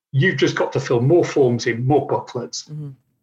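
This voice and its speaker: The voice is somewhat breathy with lively intonation against a quiet background. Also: man. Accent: English. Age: 50s. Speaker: sustainability advisor. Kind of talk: interview.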